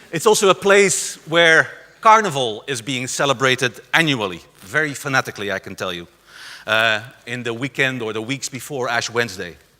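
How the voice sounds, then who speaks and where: Using a bright, sharp tone, a man with a Dutch accent speaks at medium pitch and moderate pace, with very wide pitch swings and big swings in loudness. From southern Netherlands, rural area near Belgian border. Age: 50s. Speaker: conference speaker on community arts. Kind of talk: lecture. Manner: halting, many fillers.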